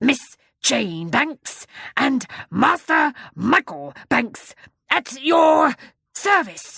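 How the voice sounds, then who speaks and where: A woman puts on a gruff, growling character voice pitched high, swinging her pitch very widely at a very slow pace with long, frequent pauses. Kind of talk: children's audiobook character voice. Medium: read story. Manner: soft-spoken, deferential.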